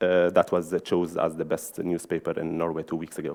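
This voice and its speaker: A man speaks with an Arabic accent. His pace is fairly quick. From Syria. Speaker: journalist and magazine editor. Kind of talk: conference talk. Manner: halting.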